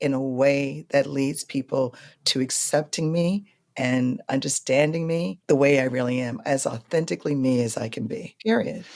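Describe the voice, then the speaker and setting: With an American accent and a very deep, low pitch, a woman speaks at a fairly slow pace in a very clean recording with a silent background. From New York. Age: 50s. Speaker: blues singer. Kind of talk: interview conversation. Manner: calm.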